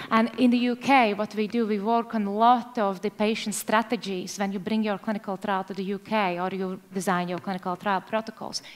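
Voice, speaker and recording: The voice runs at a fairly quick pace in a flat monotone, with hardly any pauses. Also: woman, medium pitch for a woman. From Latvia. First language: Latvian. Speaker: government trade representative. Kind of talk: panel discussion.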